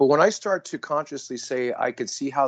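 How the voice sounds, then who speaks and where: An unremarkable speaking voice from a man, fairly high in pitch, with lively intonation at a fairly quick pace over a quiet background. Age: 60s. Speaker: podcast guest. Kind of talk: casual podcast conversation.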